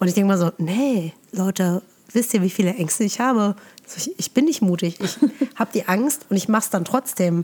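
Here is a woman with an ordinary speaking voice. She talks at a moderate pace and medium pitch, with ordinary pitch variation. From Germany, Eifel region near Nürburgring. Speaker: yoga and meditation teacher, podcast host. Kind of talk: casual interview chat. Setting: remote recording, looking at each other via video.

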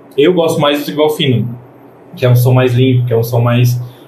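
Audible room echo surrounds a man speaking at a moderate pace. His pitch is medium with ordinary variation. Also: long, frequent pauses. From Greater Florianópolis, Brazil. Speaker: DJ. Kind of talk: casual chat.

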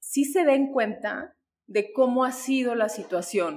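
The woman talks at a fairly slow pace. Her pitch varies in an ordinary way. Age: 40s. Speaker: author and sociologist. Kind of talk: interview. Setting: in person. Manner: hesitant with fillers.

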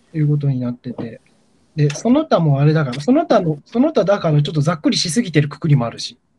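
A man speaks very fast, his loudness swinging widely, in a dark, mellow tone. His pitch sits fairly high, with lively intonation. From Gifu, Japan (rural). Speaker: guest storyteller on culture podcast. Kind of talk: casual chat. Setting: remote call.

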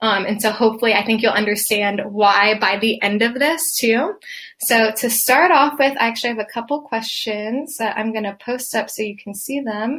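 An ordinary speaking voice from a woman, fairly high in pitch, with ordinary pitch variation. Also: moderate pace. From Atlanta, Georgia, US South. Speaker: occupational therapist and podcaster. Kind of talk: podcast solo talk, live-style presentation.

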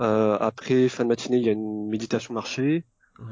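A man with a mid-range pitch talks at a moderate speed, his intonation fairly even. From born in Vietnam, Vietnamese parents, raised in France. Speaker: Chinese medicine practitioner. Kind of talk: interview. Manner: halting.

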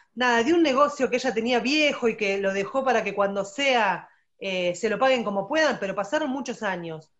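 A woman is speaking. She has an Argentine accent. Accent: Rioplatense Argentine Spanish. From Argentina. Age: 40s. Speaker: special education teacher. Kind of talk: testimony interview.

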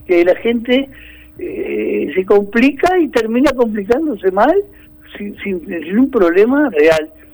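Amid noticeable background noise, a man speaks at an extremely high pitch for a man with very wide pitch swings. His pace is very slow. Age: old. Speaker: COVID-19 survivor. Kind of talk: phone interview. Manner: halting.

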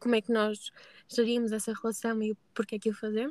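A woman speaks at a fairly high pitch with a dark, mellow tone. The sound is dry and close, with no echo. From northern Portugal, Braga. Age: 20s. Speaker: customer success manager. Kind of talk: podcast interview. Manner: hesitant, many fillers.

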